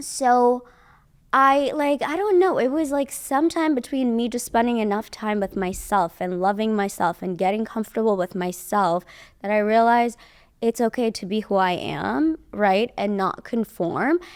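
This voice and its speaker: Speaking with a slight Iranian accent, a woman uses a fairly high pitch, lively intonation and a moderate pace. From Iran (Tehran). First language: Persian. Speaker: model and modeling teacher. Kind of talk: casual interview chat.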